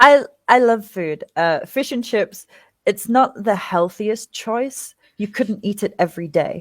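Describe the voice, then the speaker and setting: In a very clean recording with a silent background and a dry, close sound with no echo, a woman with an English accent talks at a fairly slow pace in a fairly high pitch with ordinary pitch variation. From England. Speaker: interviewee, former teacher. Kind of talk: casual interview.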